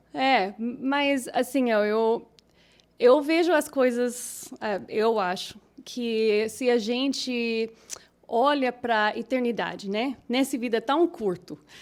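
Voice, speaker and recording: Very slow speech in an American accent with ordinary pitch variation. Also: woman, high pitch for a woman. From Minnesota, US Midwest. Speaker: English teacher, singer, pastor's wife. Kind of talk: casual chat. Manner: halting.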